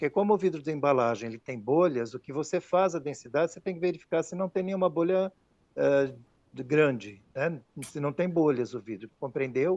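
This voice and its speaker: The voice has big swings in loudness and a moderate pace, with a dry, close sound and no echo. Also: man, fairly high pitch for a man. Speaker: glass technology specialist. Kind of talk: technical Q&A. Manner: hesitant, many fillers.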